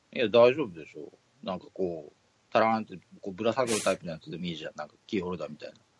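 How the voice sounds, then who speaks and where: Talking at a very fast pace, a man uses a fairly low pitch with lively intonation and big swings in loudness. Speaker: podcast co-host. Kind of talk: casual chat.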